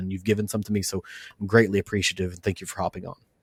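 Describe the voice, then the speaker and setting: Fairly low in pitch, a man with a Western Kentucky accent talks with fairly even intonation in a very clean recording with a silent background. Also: dry, close sound with no echo. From US South, Western Kentucky. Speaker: podcast host. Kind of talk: interview; scripted outro.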